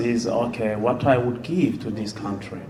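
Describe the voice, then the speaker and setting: A man talking at a fairly slow pace with ordinary pitch variation, amid noticeable background noise. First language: non-English mother tongue. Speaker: musician and panelist. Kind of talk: panel discussion.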